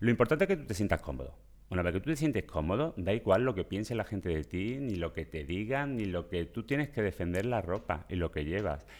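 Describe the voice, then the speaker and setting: Speaking with an Andalusian accent, a man talks at a fairly quick pace with hardly any pauses, his fairly low pitch making very wide swings. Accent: Andalusian Spanish (Seville). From Seville, Spain. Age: 50s. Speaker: personal shopper. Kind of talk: interview. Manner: animated; halting.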